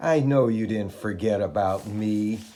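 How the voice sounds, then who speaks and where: A man uses a put-on character voice. It is fairly low in pitch and goes at a moderate pace. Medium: read story. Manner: terse.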